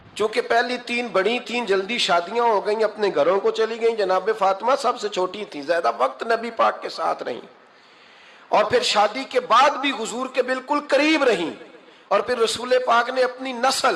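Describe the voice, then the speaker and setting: A man at an extremely high pitch with ordinary pitch variation, over noticeable background noise. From Pakistan. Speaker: Islamic scholar and preacher. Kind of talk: religious sermon.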